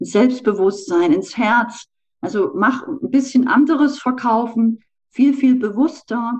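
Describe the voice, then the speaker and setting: A woman's lively intonation unfolds at a very slow pace. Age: 40s. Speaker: sales trainer. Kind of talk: interview.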